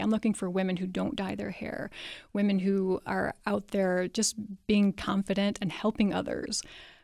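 Speaking at a moderate pace, a woman uses a plain, everyday voice at a medium pitch with fairly even intonation. The recording is very clean, with a silent background. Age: 40s. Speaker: author. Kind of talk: interview. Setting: studio.

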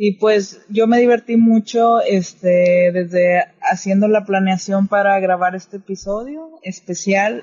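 A woman speaks at a very slow pace in a medium pitch, her voice somewhat breathy. Her intonation stays fairly even. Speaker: podcaster. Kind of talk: casual chat.

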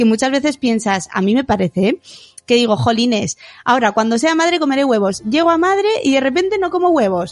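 With noticeable background noise, a high-pitched woman speaks at a fairly quick pace using very wide pitch swings. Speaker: podcast co-host, teacher and blogger. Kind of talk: casual chat.

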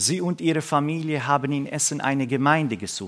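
A man talks with a Middle Eastern accent. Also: very clean recording, silent background. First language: Aramaic (speaking German). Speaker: pastor and missionary. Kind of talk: sermon. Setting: church service.

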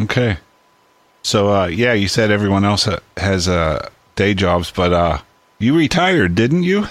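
In an American accent, the speaker goes at a fairly slow pace with long, frequent pauses, very even loudness and lively intonation. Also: man, fairly low pitch for a man. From Pittsburgh, Pennsylvania. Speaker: podcast host. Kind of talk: casual interview.

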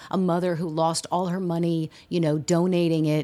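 In an American accent, a woman with an unremarkable speaking voice talks at a moderate pace and medium pitch. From US West Coast, San Diego. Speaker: playwright. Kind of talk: interview.

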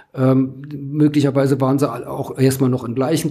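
A man speaks over noticeable background noise. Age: 60s. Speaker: journalist, former magazine editor. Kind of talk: interview. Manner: hesitant with fillers.

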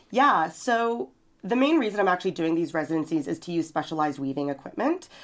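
A woman with a Canadian accent is heard on a very clean recording with a silent background. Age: 30s. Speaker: visual artist. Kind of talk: interview. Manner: halting, many fillers.

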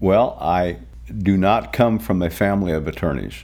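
This is a man speaking. His voice has vocal fry. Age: 60s. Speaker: former lawyer. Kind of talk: interview.

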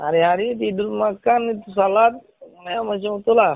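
At a moderate pace, a man speaks in a high pitch with a Rakhine accent. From Myanmar, Rohingya. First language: Rohingya (speaking Indonesian). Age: 40s. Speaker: refugee. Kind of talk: interview. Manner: halting.

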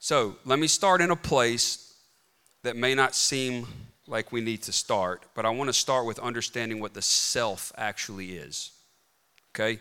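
With an American accent, a man at a medium pitch talks at a fairly slow pace, using lively intonation and a bright, sharp, animated tone. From US South, rural Mississippi. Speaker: clinical psychologist, conference speaker. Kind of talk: conference talk. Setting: stage with audience.

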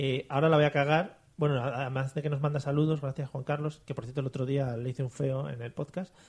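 The man's voice comes across somewhat breathy. It sits at a fairly high pitch. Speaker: podcast host. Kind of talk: casual comedy chat; mock news reading. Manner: animated.

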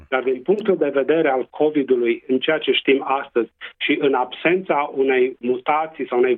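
With a Transylvanian accent, a man talks at a moderate pace and with fairly even intonation. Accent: Transylvanian Romanian. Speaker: public health doctor. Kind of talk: interview. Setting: radio interview.

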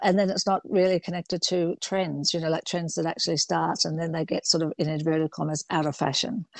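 Delivered with hardly any pauses, a woman's unremarkable speaking voice sits at a fairly low pitch with fairly even intonation, and the sound is dry and close with no echo. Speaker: fashion designer. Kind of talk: interview.

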